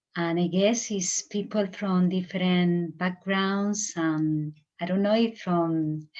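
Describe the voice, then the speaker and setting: A woman speaks very slowly with a Spanish accent. Her pitch is fairly low and her intonation fairly even. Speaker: meditation teacher. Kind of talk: spiritual talk. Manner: halting, searching for words.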